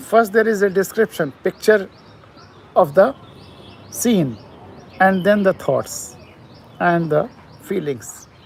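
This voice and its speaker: Over noticeable background noise, a man with an Indian accent speaks at a fairly slow pace, his pitch high with ordinary variation. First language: Hindi. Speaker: poet. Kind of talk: poetry talk and reading. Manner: halting.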